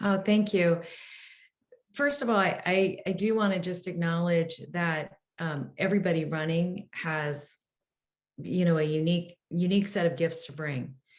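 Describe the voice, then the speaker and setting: In an unremarkable speaking voice, a woman with a fairly low pitch talks at a moderate pace with ordinary pitch variation. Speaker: mayoral candidate. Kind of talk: candidate forum answer.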